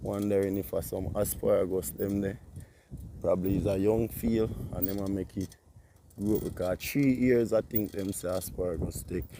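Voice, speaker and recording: A man with a dark, mellow tone and fairly low pitch talks at a moderate pace in a relaxed tone, with ordinary pitch variation. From Jamaica. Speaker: vlogger and farm worker. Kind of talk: casual vlog. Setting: outdoors riding a bicycle on a country road. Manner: relaxed, patois-heavy.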